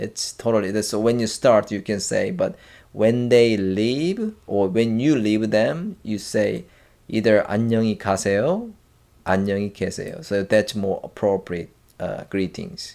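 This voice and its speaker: A man with a Korean accent at a fairly slow pace, on a very clean recording against a silent background. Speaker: language teacher. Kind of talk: tutorial. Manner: halting, many fillers and restarts.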